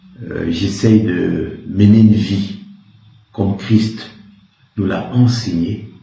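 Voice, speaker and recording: A man speaks with a fairly low pitch. Some room echo can be heard. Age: 60s. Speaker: retired army officer. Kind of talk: interview. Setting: in his office.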